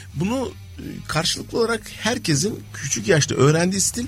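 Music plays behind a man speaking at a high pitch. His voice swings very widely in pitch. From Turkey. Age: 50s. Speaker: innovation and change management consultant. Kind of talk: radio interview.

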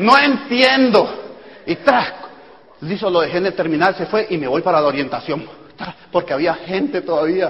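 High-pitched male voice with very wide pitch swings, a moderate pace and noticeable background noise. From Colombia. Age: 40s. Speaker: network marketing speaker. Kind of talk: motivational talk. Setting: stage with audience.

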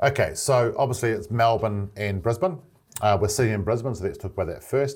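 In a very clean recording with a silent background, a man with a New Zealand accent speaks at a medium pitch, somewhat breathy, with lively intonation. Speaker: business manager setting up branch offices. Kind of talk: casual interview. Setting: office in Brisbane.

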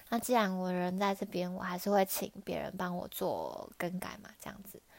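With a Taiwanese accent, the speaker goes at a fairly slow pace in a very clean recording with a silent background. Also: woman. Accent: Taiwanese Mandarin. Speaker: podcaster, language learner. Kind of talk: solo podcast monologue.

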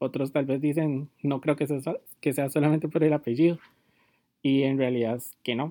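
A man with a Costa Rican accent, fairly high-pitched, dark and mellow in tone, fairly quick, in a flat monotone. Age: 20s. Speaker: fashion blogger and podcast host. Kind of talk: casual monologue.

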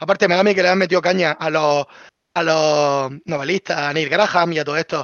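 A man's plain, everyday voice, fairly high in pitch, with fairly even intonation and a fairly quick pace. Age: young. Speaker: content creator. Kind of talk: casual chat.

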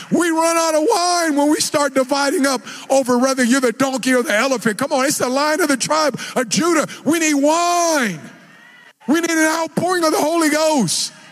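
Shouting in an animated tone at an extremely high pitch, a man keeps a moderate pace, ordinary pitch variation and very even loudness over noticeable background noise. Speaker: preacher. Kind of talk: sermon. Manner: loud, yelling; animated, exhorting.

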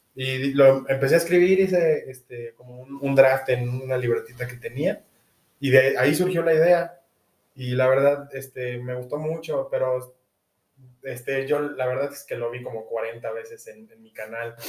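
The speech is somewhat breathy and fairly slow, with fairly even intonation but big swings in loudness. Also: man, medium pitch for a man. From Mexico. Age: 20s. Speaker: university student and rugby player. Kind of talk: casual interview. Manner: halting, repeats words.

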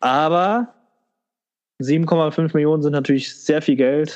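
Very slow speech from a man, pitch variation ordinary. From Germany, Leverkusen (Rhineland). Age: 20s. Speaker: fan podcast co-host. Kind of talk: casual chat.

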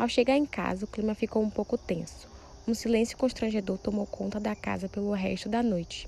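Her voice is fairly high, somewhat breathy and dark and mellow in tone as this woman speaks at a moderate pace. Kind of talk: dramatic narration of a telenovela-style story, like a soap opera announcer. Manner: animated, suspenseful, theatrical delivery with raised intensity at the cries of alarm; formal, storyteller's pacing, building mystery.

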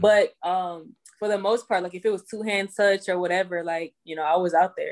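A normal speaking voice from a woman, medium in pitch, fairly even in intonation and fairly quick, over a quiet background. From Houston, Texas. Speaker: professional football player and entrepreneur. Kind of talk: interview.

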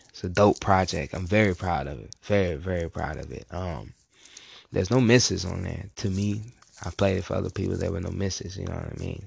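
Vocal fry marks this man's very deep, low voice, which moves at a fairly quick pace with ordinary pitch variation and big swings in loudness. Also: quiet background. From Virginia. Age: young. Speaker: rapper. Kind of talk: interview. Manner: casual, hesitant with fillers.

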